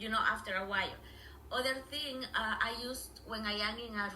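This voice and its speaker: A woman with a Spanish accent speaks with fairly even intonation, amid noticeable background noise and audible room echo. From Honduras. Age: 50s. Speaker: language teacher. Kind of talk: interview. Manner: halting, many fillers.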